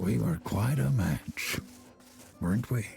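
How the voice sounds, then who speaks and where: This man uses a put-on character voice, very deep and low in pitch. He talks fairly slowly, and his pitch swings very widely. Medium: video game. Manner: nostalgic, amused.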